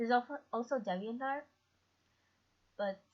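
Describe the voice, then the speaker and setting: The voice is quiet and somewhat breathy. It moves at a moderate pace with ordinary pitch variation. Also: woman. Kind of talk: tutorial talk over slides.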